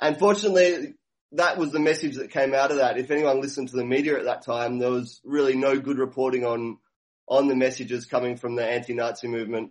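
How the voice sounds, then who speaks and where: Very fast speech in an Australian accent, with ordinary pitch variation. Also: man, medium pitch for a man. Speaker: activist sound system operator. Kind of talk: casual interview. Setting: phone call.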